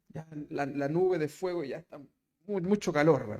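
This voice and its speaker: Dark and mellow in tone, a man's voice shows ordinary pitch variation. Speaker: pastor. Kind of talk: sermon. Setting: church.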